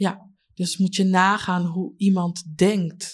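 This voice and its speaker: Somewhat breathy woman's voice, fairly low in pitch, on a very clean recording with a silent background. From Leiden, Netherlands. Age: 30s. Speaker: community member, former care worker. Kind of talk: interview testimony.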